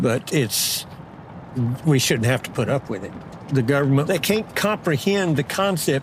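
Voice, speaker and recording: A man with a Texan accent speaks with lively intonation over noticeable background noise. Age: 70s. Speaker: rancher. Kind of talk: interview.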